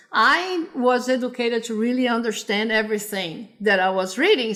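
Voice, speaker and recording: There is noticeable background noise as a woman speaks with a Brazilian Portuguese accent. Her voice is fairly high, with ordinary pitch variation. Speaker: computer science professor. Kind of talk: interview. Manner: halting, many repetitions.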